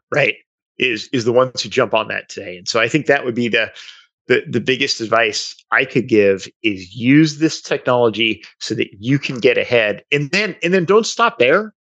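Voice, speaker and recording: A man talks at a moderate pace with lively intonation in an ordinary speaking voice. The background is quiet. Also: medium pitch for a man. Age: 50s. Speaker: sales executive. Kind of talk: interview.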